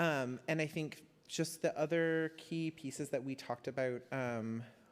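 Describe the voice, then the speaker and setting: A man with an ordinary speaking voice, fairly high pitch, fairly even intonation and a fairly slow pace. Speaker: community council member. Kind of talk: meeting discussion.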